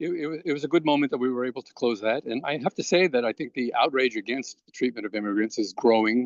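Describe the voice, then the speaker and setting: A man with a New York accent talks very fast, with hardly any pauses. His loudness swings widely while his pitch varies in an ordinary way. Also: medium pitch for a man. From Brooklyn, New York. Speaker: immigrant rights activist. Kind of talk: interview. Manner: halting.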